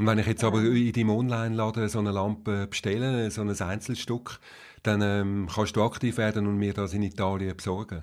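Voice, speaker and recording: Speaking at a fairly quick pace, a man keeps a monotone, flat intonation. His pitch is fairly low, and the recording is very clean with a silent background. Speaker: podcast host. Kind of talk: interview.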